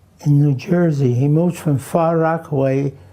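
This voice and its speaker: A man with a Hungarian accent, fairly high pitch and fairly even intonation. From New York (Queens), born in Romania. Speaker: elderly interviewee recalling his life. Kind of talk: oral history interview. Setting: at home. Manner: halting, many fillers.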